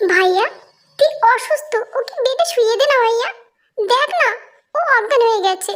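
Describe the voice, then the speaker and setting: Using a put-on character voice at an extremely high pitch, a woman speaks at a moderate pace with lively intonation and very even loudness. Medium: read story. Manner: soft, pleading.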